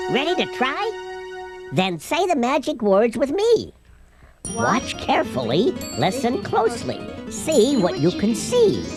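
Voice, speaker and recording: This is a put-on character voice pitched fairly high. It moves at a fairly slow pace over clear music in the background. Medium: short film.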